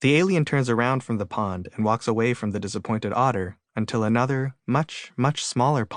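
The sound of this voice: An unforced reading voice with ordinary pitch variation comes over a quiet background.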